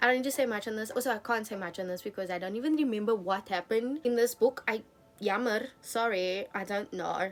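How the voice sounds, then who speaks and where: With music in the background, a woman talks very fast at a fairly high pitch, using ordinary pitch variation. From South Africa. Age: 20s. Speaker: book YouTuber. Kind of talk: casual talk to camera.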